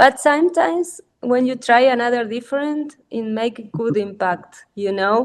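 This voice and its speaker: Lively intonation in a Spanish accent at a fairly slow pace. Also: woman. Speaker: artist. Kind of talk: casual chat. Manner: halting.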